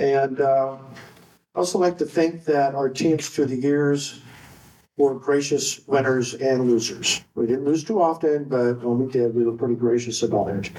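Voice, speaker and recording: A man talks at a moderate pace with a medium pitch. His tone is dark and mellow, with ordinary pitch variation. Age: 60s. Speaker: retired water polo coach. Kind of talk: induction speech. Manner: long-winded, casual.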